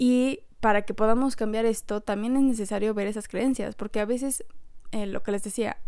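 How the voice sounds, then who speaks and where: On a very clean recording with a silent background, a woman talks at a moderate pace, her fairly high voice dark and mellow with fairly even intonation. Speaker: podcast host. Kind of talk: solo podcast talk. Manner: laughs often while talking.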